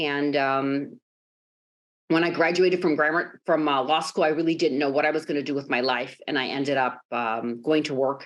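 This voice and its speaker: Speaking at a moderate pace with a Chicago accent, a woman has a very deep, low pitch and fairly even intonation. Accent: American Midwest (Chicago). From Chicago, US Midwest, Greek-American family. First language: Greek. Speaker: sports team executive. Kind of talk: podcast interview.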